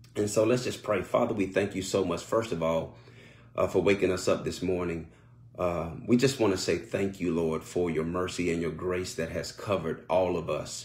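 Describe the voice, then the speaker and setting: Somewhat breathy and very deep, a man's voice moves at a moderate pace with fairly even intonation. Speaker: pastor. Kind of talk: sermon and spoken prayer. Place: home room. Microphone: phone near.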